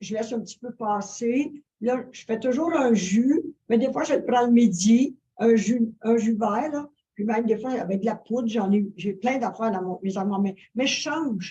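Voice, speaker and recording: The voice is dark, mellow and somewhat breathy, moving at a fairly slow pace with ordinary pitch variation. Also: woman. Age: 70s. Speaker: interview guest, wellness influencer. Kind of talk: interview. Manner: halting, many fillers.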